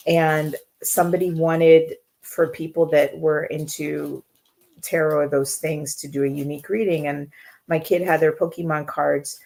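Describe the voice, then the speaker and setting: A woman talks in a very deep, low pitch with a dark, mellow tone. Her intonation is monotone and flat, with a slight Jamaican accent. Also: moderate pace. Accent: slight Jamaican accent from family. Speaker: intuitive coach. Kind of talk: live Q&A stream. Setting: live online stream. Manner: fills pauses, many filler words.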